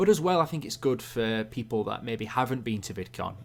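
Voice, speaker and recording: A man with an English accent talks at a fairly quick pace with ordinary pitch variation. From England. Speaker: YouTube animator streamer. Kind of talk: live stream Q&A. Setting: live stream. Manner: casual, halting with fillers.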